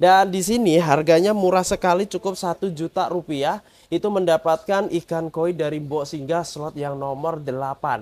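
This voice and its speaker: Delivered in an animated tone at a fairly slow pace, the speech has hardly any pauses. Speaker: koi seller reviewing fish. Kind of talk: sales commentary. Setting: fish pond/video, with helper handling fish. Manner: animated, punchy, hard-sell.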